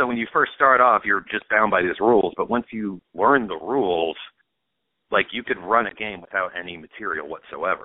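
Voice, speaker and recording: This is an unremarkable speaking voice from a man with a fairly low pitch. He talks at a moderate pace with ordinary pitch variation. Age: 30s. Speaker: comedian. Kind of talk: casual chat.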